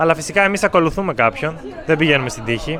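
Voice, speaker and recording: The man's voice sits fairly high in pitch, and noticeable noise runs underneath it. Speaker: language teacher vlogger. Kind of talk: casual vlog talk. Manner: slow and clear.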